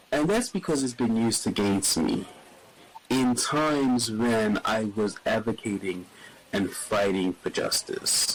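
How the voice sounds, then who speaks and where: Against noticeable background noise, a man speaks at a fairly slow pace with a medium pitch, ordinary pitch variation and very even loudness. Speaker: podcast guest, community advocate. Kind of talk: interview conversation. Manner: gentle, quiet; halting.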